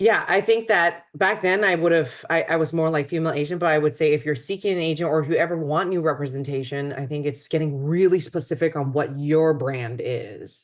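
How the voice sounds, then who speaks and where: At a moderate pace, a woman speaks with hardly any pauses. Her voice is very deep and low. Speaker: actor. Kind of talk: casual chat. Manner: halting.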